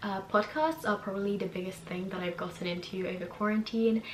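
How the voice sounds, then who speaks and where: Noticeable background noise runs under a woman speaking at a medium pitch. Her pace is fairly quick and her intonation fairly even. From Hungary, then England from age 10. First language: Hungarian. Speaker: YouTuber. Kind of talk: casual vlog recommendations.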